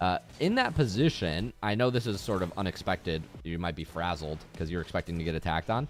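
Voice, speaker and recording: Very deep and low in pitch, a man with an American accent talks at a very fast pace with lively intonation. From United States. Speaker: video game coach. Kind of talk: live coaching session with replay review. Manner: casual, conversational.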